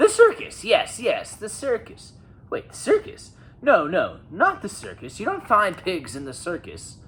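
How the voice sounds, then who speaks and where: Putting on a character voice, a woman speaks at a moderate pace in a high, shrill tone. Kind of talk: bedtime story. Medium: read story. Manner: shrill, blustering, impatient.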